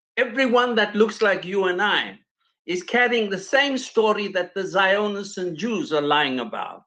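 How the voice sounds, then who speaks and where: Against a quiet background, a raised, projected voice with a bright, sharp tone speaks at a fairly slow pace with ordinary pitch variation. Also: man, high pitch for a man. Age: 70s. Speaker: panel guest. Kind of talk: panel discussion. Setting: video call. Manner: halting, repetitive.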